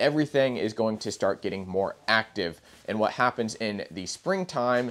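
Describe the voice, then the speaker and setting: At a moderate pace, a man talks in a fairly low voice. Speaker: presenter. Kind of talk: tutorial. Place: shop. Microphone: lapel.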